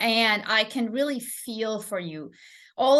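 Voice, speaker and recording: A woman speaks with a non-native accent and ordinary pitch variation. The background is quiet. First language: not English. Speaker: English teacher. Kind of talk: live stream lesson. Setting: live stream. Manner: halting, many fillers.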